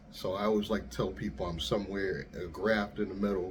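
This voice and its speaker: A man's fairly low voice with vocal fry, fairly even intonation and a moderate pace, amid audible room echo. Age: middle-aged. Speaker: YouTuber and rideshare driver. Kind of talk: casual monologue. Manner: soft-spoken; easy-going.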